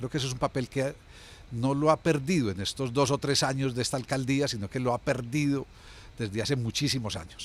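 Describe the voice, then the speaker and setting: Here a man talks at a fairly quick pace, using medium pitch and ordinary pitch variation. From Colombia, Medellín (Antioquia). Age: 60s. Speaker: former city culture official. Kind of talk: interview. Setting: café. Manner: hesitant, with fillers.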